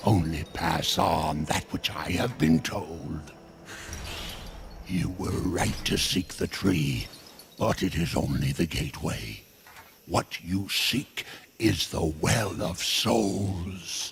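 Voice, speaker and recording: Speaking very slowly, a man puts on a character voice with a very deep, low pitch. His intonation stays lively. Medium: video game. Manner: cryptic, amused, prone to humming and chuckling; slow, knowing, mock-humble.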